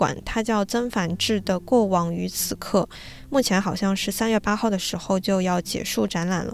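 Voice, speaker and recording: At a moderate pace and with hardly any pauses, a woman speaks at a medium pitch with ordinary pitch variation. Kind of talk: casual monologue. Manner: gentle, soothing.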